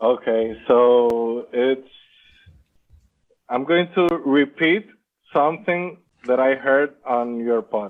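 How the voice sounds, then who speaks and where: A man with a non-native accent, medium pitch and ordinary pitch variation, very slow pace with long, frequent pauses, and very even loudness. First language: not English. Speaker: Amazon seller. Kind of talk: interview. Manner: halting.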